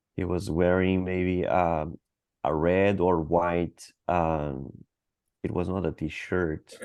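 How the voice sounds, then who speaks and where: Very slowly, a man speaks in a Portuguese accent. His very deep, low pitch stays monotone and flat. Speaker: interviewee. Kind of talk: mock cognitive interview. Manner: halting, searching for words.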